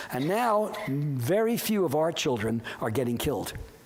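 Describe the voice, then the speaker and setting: Very wide pitch swings mark this voice with an American accent, heard through audible room echo and noticeable background noise. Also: man. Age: 80s+. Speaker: professor. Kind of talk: lecture. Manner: halting.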